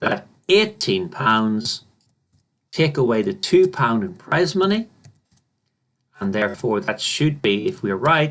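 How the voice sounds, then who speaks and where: A man talks at a fairly slow pace with long, frequent pauses, his fairly high pitch swinging very widely. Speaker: maths teacher. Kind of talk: tutorial. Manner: halting.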